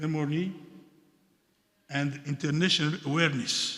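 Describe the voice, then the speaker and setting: A man speaks with a French accent at a fairly slow pace. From Democratic Republic of the Congo. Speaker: diplomat speaking at a seminar. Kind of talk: formal speech at seminar. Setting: museum seminar with audience. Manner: halting, with hesitations.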